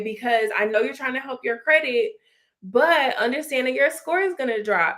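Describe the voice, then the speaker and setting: Loud and animated, a woman talks at a moderate pace in a bright, sharp tone with a fairly high pitch. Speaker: credit repair coach. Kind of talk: livestream talk to viewers. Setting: live stream on Instagram and YouTube.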